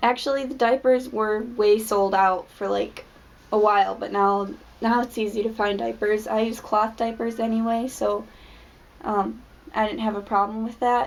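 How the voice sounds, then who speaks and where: A woman talks at a moderate pace and fairly high pitch with a monotone, flat intonation. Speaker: mother. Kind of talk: casual talk to camera. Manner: hesitant.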